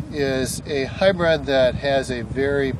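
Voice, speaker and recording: The sound is dry with no echo, but there is loud background noise. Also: man. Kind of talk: field tutorial explanation. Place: farm machine.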